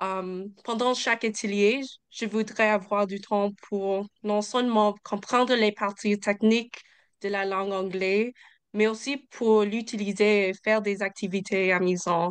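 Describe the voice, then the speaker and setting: A woman with an English accent speaks very slowly at a medium pitch in a monotone, flat intonation over a quiet background. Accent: English-speaking accent in French. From Ontario, Canada. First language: English (speaking French). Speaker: English course instructor. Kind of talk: information session presentation.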